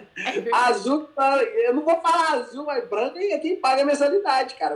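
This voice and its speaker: A man speaks at an extremely high pitch with very wide pitch swings. His pace is fairly quick. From Brazil, Minas Gerais (Formiga). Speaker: jiu-jitsu athlete. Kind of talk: casual interview. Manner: halting.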